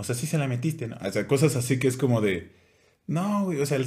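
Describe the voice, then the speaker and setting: A man speaks in a somewhat breathy voice whose pitch swings very widely. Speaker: podcast co-host. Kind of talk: casual chat. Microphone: new microphone making voice sound deeper.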